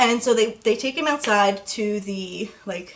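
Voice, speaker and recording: A woman with a fairly high pitch talks while noticeable background noise fills the recording. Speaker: YouTuber. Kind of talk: storytime vlog. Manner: fast; casual.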